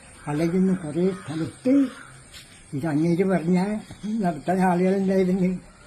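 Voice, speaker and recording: Noticeable background noise sits behind a man talking at a high pitch. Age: 80s+. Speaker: yoga teacher. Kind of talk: interview.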